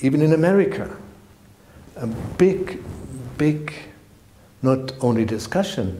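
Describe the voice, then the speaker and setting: With a German accent and lively intonation, the speaker goes at a fairly slow pace with long, frequent pauses in a room with audible echo. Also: man, fairly high pitch for a man. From Germany. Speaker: spiritual teacher. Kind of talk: direct-to-camera channel introduction. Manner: halting, non-native phrasing.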